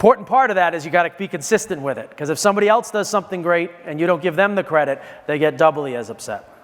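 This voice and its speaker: A man talks at a very fast pace with a high pitch and lively intonation. Noticeable background noise runs beneath him. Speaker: wine and spirits industry speaker. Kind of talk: conference talk. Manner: halting, many fillers and restarts.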